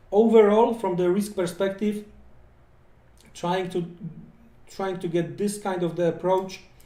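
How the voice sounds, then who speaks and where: A man with a non-native accent and fairly even intonation, in audible room echo. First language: not English. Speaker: forex trading educator. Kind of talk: live trading tutorial. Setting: live stream. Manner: halting, many fillers and repetitions.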